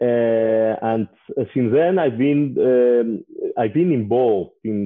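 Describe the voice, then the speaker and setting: A man's medium-pitched voice at a very slow pace. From Spain (Catalonia). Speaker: business angel investor. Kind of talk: interview. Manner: halting, frequent filler uh.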